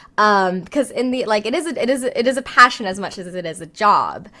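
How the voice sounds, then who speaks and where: A woman speaks in a bright, sharp tone. Her pitch swings very widely. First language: not English. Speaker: voice actor. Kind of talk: interview. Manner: halting, many fillers.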